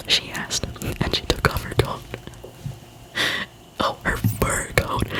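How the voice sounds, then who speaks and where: The voice is a whisper, very slow. Clear background noise is present. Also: woman. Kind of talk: storybook reading, dialogue performed. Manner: whispered, soft-spoken.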